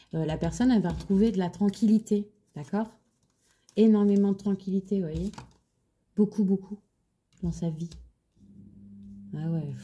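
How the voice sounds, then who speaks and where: A somewhat breathy woman's voice with a dark, mellow tone, fairly even intonation, big swings in loudness, and long, frequent pauses. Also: fairly slow pace. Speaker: tarot card reader. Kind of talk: tarot reading. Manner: halting; soft-spoken, low voice.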